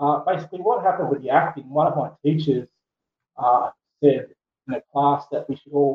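Speaking fairly quickly with an Australian accent, a man uses a fairly high pitch and ordinary pitch variation. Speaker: poet. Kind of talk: casual interview. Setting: remote call.

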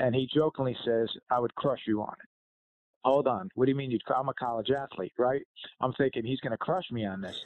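Using an ordinary speaking voice, a man speaks at medium pitch with ordinary pitch variation. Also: fairly quick pace. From New Jersey. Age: 50s. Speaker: retired fire chief and leadership author. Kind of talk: interview.

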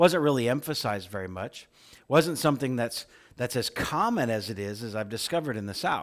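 In a plain, everyday voice, a man with an American accent talks at a fairly quick pace with lively intonation. The recording is very clean, with a silent background. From central Illinois, US Midwest. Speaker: pastor. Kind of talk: sermon.

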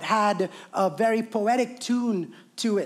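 The tone is animated, and the recording is very clean with a silent background. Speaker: preacher. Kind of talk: sermon. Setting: church. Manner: animated, preaching style.

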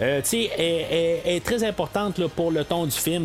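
At a moderate pace, a man talks in a high pitch amid noticeable background noise. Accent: Quebec. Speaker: podcast host. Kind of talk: solo film review. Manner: hesitant, many fillers.

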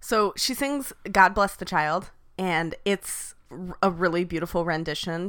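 Her pitch varies in an ordinary way as a woman talks at a fairly slow pace. The background is silent on a very clean recording. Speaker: podcast host. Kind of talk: casual recap chat. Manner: animated, high energy.

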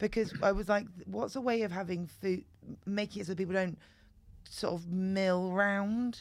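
A British accent at a moderate pace, with fairly even intonation. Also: woman, medium pitch for a woman. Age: 40s. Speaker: comedian. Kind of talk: casual chat.

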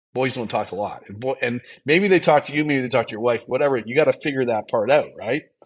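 Lively intonation marks this man's speech, which moves at a very fast pace. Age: 50s. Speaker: entrepreneur and mental health advocate. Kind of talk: testimony.

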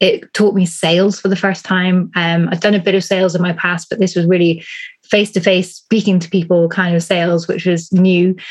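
Somewhat breathy and medium in pitch, a woman with a British accent speaks at a fairly quick pace. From UK. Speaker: business coach. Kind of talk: interview. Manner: calm.

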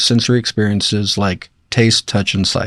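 A normal speaking voice from a man, medium in pitch, at a fairly quick pace with ordinary pitch variation. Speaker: doctor. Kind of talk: casual chat.

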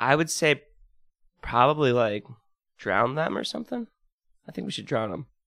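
A man's medium-pitched voice with vocal fry and a bright, sharp tone, lively intonation, big swings in loudness, long, frequent pauses and a moderate pace, in a dry, close sound with no echo. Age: 20s. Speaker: podcast host. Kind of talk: casual chat.

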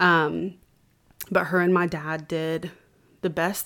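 A woman speaks in a fairly low pitch with a Southern US accent and a monotone, flat intonation. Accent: Southern US (Georgia). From US South, Georgia (Cartersville). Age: 20s. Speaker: church member sharing her faith testimony; singer. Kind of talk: testimony.

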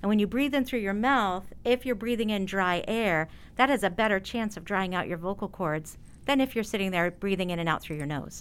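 On a very clean recording with a silent background, a woman talks at a fairly quick pace in a plain, everyday voice, medium in pitch with ordinary pitch variation. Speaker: speech pathologist. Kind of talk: interview.

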